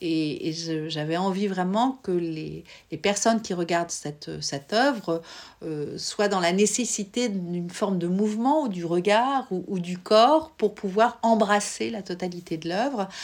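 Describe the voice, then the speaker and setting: A woman speaks at a medium pitch and fairly slow pace with lively intonation, on a very clean recording with a silent background. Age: 50s. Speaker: visual artist, former psychoanalyst. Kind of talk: interview. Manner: hesitant, with frequent fillers.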